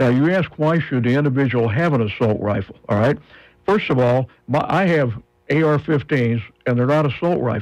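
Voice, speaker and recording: An unremarkable speaking voice from a man, medium in pitch, with lively intonation, very even loudness and a moderate pace. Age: 60s. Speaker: firearms instructor. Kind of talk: radio interview.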